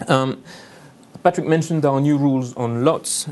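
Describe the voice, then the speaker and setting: This is a man speaking with a French accent. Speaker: lawyer. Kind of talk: conference presentation. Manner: hesitant, many fillers.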